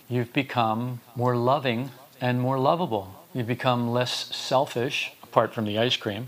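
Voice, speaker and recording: Noticeable background noise is present in the clip. A man talks at a fairly slow pace. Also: medium pitch for a man, fairly even intonation. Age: 70s. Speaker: spiritual teacher. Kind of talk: lecture.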